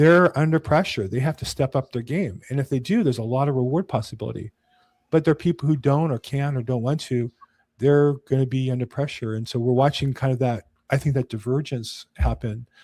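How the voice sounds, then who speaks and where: A somewhat breathy man with an American accent, medium pitch, ordinary pitch variation and a fairly quick pace, in a dry, close sound with no echo. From California. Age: 60s. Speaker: real estate agent. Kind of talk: casual chat. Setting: podcast recording.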